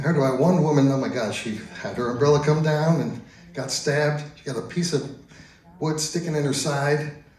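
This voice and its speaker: Speaking at a moderate pace with an American accent, a man with a fairly high pitch is heard in a room with audible echo and noticeable background noise. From US Northeast, Long Island, New York. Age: 70s. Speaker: stand-up comedian. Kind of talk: stand-up. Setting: stage with audience.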